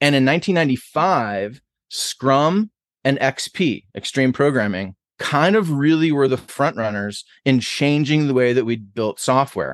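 A man's normal speaking voice with an American accent, fairly high in pitch, fairly slow, with lively intonation and very even loudness, dry and close with no echo, over a quiet background. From Buffalo, New York. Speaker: author and agile consultant. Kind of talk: interview.

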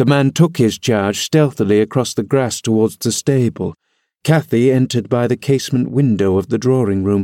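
This is an unforced reading voice with ordinary pitch variation, set against a quiet background.

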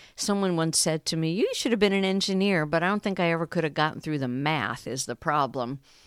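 In an American accent, a woman with a fairly low pitch speaks at a very fast pace with lively intonation and hardly any pauses, on a very clean recording with a silent background. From New York City. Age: 60s. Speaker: stay-at-home mom. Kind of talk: casual interview.

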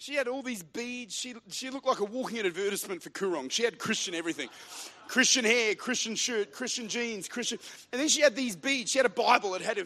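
A man with an Australian accent speaks in a raised, projected voice at an extremely high pitch, very fast and animated in tone. His pitch varies in an ordinary way over noticeable background noise. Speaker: pastor. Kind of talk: sermon. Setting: church. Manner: animated, rousing preacher in full flow, building momentum with call-and-response; fervent, urgent, punchy repetition.

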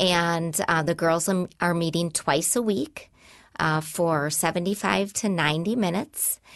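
Against a quiet background, a woman with an American accent talks at a fairly slow pace, her loudness very even and her pitch varying normally. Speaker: nonprofit executive director. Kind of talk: casual interview.

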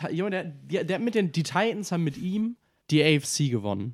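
The recording is very clean, with a silent background. A man with a fairly high pitch talks at a moderate pace, his pitch swinging very widely. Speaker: NFL podcast host. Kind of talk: casual chat.

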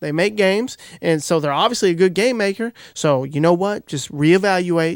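Very clean and silent in the background, this recording has a man speaking at a high pitch with ordinary pitch variation. He keeps a moderate pace. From Kentucky. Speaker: podcast host. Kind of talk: casual chat; sales pitch.

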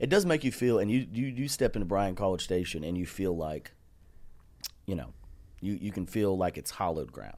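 A man with a Texas accent, fairly low in pitch, with lively intonation, a fairly quick pace and long, frequent pauses. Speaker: comedian. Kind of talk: casual chat. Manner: animated.

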